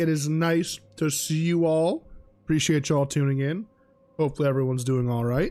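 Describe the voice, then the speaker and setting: Over music in the background, a man with a fairly high pitch talks at a fairly quick pace. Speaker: video game streamer. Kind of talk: live gaming stream chat. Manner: casual, hesitant with fillers.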